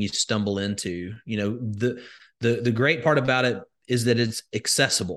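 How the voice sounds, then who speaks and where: A man speaks with an Alabama accent. The background is quiet. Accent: Southern US (Alabama). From US South, rural Alabama. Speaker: crypto educator and investor. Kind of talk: interview.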